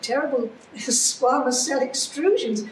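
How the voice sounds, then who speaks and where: Noticeable background noise sits behind the voice. A woman speaks with ordinary pitch variation. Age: 80s+. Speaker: cancer survivor. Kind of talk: interview answer.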